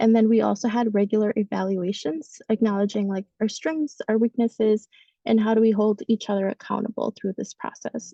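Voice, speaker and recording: Somewhat breathy, a woman speaks at a fairly high pitch in a dark, mellow tone, the sound dry and close with no echo. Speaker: community organizer and policy advocate. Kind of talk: panel discussion on a webinar. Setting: webinar call. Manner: fast; hesitant, many fillers.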